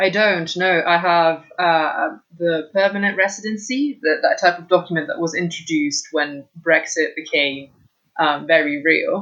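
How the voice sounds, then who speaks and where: A woman's fairly low voice at a fairly slow pace, with ordinary pitch variation and big swings in loudness. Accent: British. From Italy. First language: Italian. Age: 20s. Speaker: architectural assistant. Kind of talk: interview conversation.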